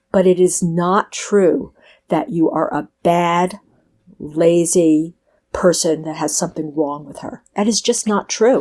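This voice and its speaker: An ordinary speaking voice with an American accent moves at a fairly slow pace. Its loudness swings widely, on a very clean recording with a silent background. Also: woman. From New York. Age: 60s. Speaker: author. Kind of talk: interview.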